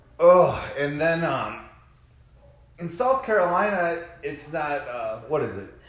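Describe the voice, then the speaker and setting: With noticeable background noise and audible room echo, a man talks at a very slow pace with long, frequent pauses in a high voice, making very wide pitch swings and big swings in loudness. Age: 30s. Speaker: podcast co-host, recovering alcoholic. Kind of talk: casual chat.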